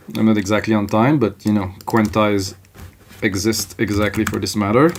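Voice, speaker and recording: Speech at a moderate pace with a slight French Canadian accent comes through noticeable background noise. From Quebec, French Canada. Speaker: music producer. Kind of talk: tutorial. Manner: casual, conversational.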